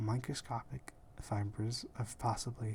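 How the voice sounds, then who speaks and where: The voice is whispering. The pace is very slow. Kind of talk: ASMR whispering about gemstones. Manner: whispered.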